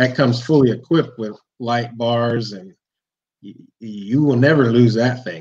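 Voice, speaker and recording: With an American accent, a man speaks at a moderate pace with ordinary pitch variation. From Cleveland, Ohio; Ohio. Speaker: monster truck driver; guest. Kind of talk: casual chat. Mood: relaxed, smiling. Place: home room. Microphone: video call.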